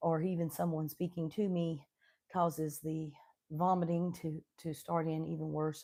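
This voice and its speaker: A woman's dark, mellow voice with an Appalachian accent, in a very clean recording over a silent background. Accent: Appalachian Southern US. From Southwestern Virginia, Appalachian coal country. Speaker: homesteading YouTuber. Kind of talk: casual live stream chat. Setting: home kitchen, live stream.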